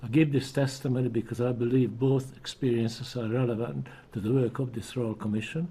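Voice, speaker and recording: Fairly quick and somewhat breathy, a man speaks at medium pitch in a dark, mellow tone with fairly even intonation. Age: 80s+. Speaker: Holocaust survivor. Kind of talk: testimony. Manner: formal.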